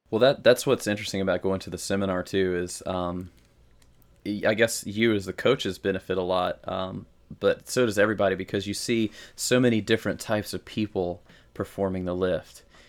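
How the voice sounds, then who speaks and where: Speaking in a fairly low pitch with a slight Southern US accent, a man keeps a fairly quick pace and fairly even intonation in a very clean recording with a silent background. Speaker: podcast co-host, novice lifter. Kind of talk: casual chat.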